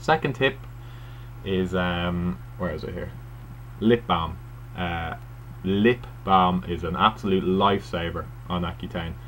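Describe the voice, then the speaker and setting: A man's very deep, low voice with very wide pitch swings and long, frequent pauses, over noticeable background noise. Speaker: first-time video blogger. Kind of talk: casual vlog monologue. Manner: hesitant, many fillers.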